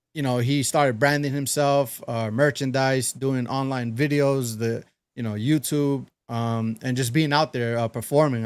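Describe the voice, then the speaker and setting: The pace is moderate and the intonation fairly even. The recording is very clean, with a silent background. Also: man. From New York City, Brooklyn. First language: Spanish. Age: 30s. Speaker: DJ. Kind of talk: casual interview chat. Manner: hesitant, many fillers.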